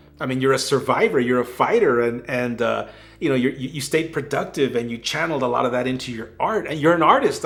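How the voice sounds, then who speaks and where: With an American accent, a man speaks in an enthusiastic tone at a fairly quick pace, his medium pitch showing ordinary variation. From West Texas. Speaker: YouTube interviewer. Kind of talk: casual interview chat.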